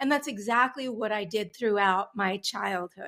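With an American accent, a woman speaks in a normal speaking voice at a fairly quick pace and with lively intonation. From Long Island, New York. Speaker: business coach. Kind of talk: interview.

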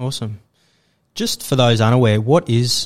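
A man with an Australian accent at a moderate pace and fairly even intonation, recorded dry and close with no echo, very clean, over a silent background. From Australia, Sydney. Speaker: podcast host. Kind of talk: casual interview chat.

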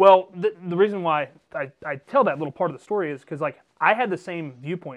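With an American accent and a high pitch, a man speaks against a quiet background. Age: 30s. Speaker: podcast host. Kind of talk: casual chat.

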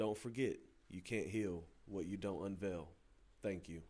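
With an American accent, a man uses an ordinary speaking voice, fairly low in pitch, with ordinary pitch variation at a moderate pace. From New Bern, North Carolina. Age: 20s. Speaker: podcast host. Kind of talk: interview.

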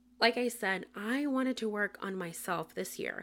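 A woman speaks with a Spanish accent in a bright, sharp tone. The recording is very clean, with a silent background. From Puerto Rico. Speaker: podcast host. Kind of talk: casual monologue. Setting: solo podcast recording. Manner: frequent laughter.

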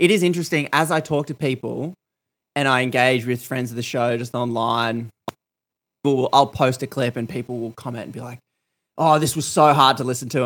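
On a very clean recording with a silent background, a man with an Australian accent speaks in a medium pitch. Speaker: podcast host. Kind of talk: casual chat.

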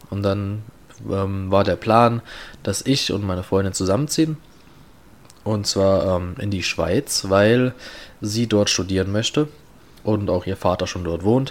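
Fairly slow delivery, long and frequent pauses, ordinary pitch variation. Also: man, fairly low pitch for a man. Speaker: podcast host. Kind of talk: casual chat.

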